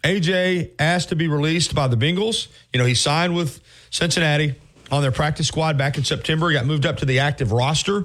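With an American accent, a man talks at a very fast pace in a fairly high pitch, his loudness very even and his pitch varying in an ordinary way, on a very clean recording with a silent background. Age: 50s. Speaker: sports radio host. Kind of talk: sports radio talk.

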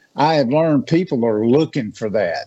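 A man speaks with a Southern US accent. His pace is moderate, with ordinary pitch variation. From Natchez, Mississippi. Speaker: hunting and outdoors speaker. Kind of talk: radio interview.

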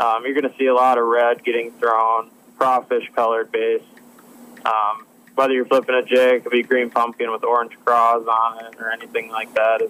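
Over noticeable background noise, a man talks in a monotone with flat intonation. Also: medium pitch for a man, moderate pace. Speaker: professional bass angler. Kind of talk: casual interview. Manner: calm.

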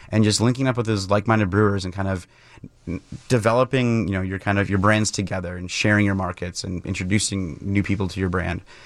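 A man's fairly low voice at a very fast pace with fairly even intonation. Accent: Upper Midwest. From Wisconsin, near Milwaukee. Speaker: brewery owner and brewer. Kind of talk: radio interview. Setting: radio studio.

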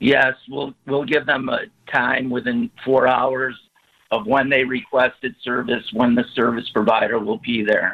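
An unremarkable speaking voice from a man with an American accent, medium in pitch, with ordinary pitch variation and a fairly slow pace. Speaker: snow removal business owner. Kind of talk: interview. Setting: phone call.

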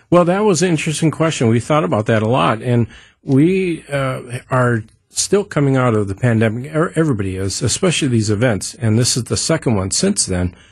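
Over a quiet background, a man speaks at a fairly quick pace in a medium, somewhat breathy voice. His pitch swings very widely. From Southeast Alaska, around Juneau. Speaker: nonprofit executive. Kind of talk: radio interview. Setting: radio studio. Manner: hesitant, many fillers.

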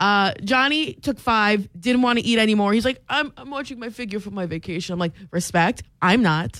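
A woman with a normal speaking voice and an American accent, fairly high-pitched, with lively intonation, a moderate pace and hardly any pauses, in a very clean recording with a silent background. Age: 20s. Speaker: radio host. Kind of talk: casual chat. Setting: studio.

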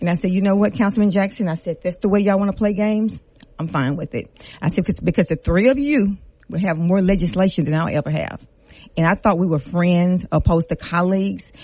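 Speaking very fast, a woman has a fairly low, dark and mellow voice that is somewhat breathy. Her pitch varies in an ordinary way. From Lafayette, Louisiana. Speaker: city council member. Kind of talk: radio interview. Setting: studio.

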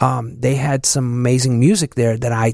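Recorded very cleanly against a silent background, with a dry, close sound and no echo, this voice has a Chicago accent and moves at a moderate pace. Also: man. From Chicago, southeast side. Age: 50s. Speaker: DJ. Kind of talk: casual interview.

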